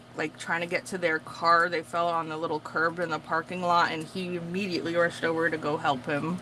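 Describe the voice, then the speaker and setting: A woman speaks at a fairly quick pace with hardly any pauses, her fairly low voice flat and monotone over noticeable background noise. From Massachusetts, Portuguese community. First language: Portuguese. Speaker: craft vlogger. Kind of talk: casual chat. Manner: chatty, filler-heavy.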